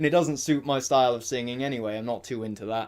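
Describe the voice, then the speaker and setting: On a very clean recording with a silent background, a man talks at a fairly quick pace in an ordinary speaking voice. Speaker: singing teacher. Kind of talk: casual vocal tutorial talk to camera. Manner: casual, informal.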